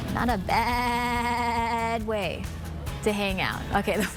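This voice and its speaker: A woman at a very slow pace, fairly high in pitch with monotone, flat intonation, over music in the background. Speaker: TV news anchor and reporter. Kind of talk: casual on-air banter.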